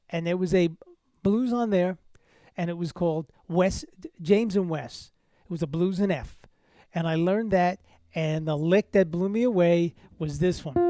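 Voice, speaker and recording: A man speaks at a high pitch in a dark, mellow tone with ordinary pitch variation. His moderate pace is broken by long, frequent pauses. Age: 60s. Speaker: jazz guitar teacher. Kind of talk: casual chat on a livestream. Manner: halting, many fillers.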